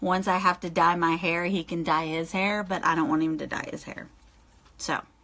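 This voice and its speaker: A woman's fairly low-pitched, bright, sharp voice at a moderate pace. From Dover area. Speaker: clothing reseller. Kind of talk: live video Q&A. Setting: livestream. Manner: casual chatty.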